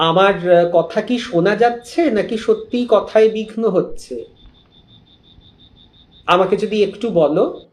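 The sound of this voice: Slow speech with a slightly mellow tone and audible room echo. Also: man, high pitch for a man, ordinary pitch variation.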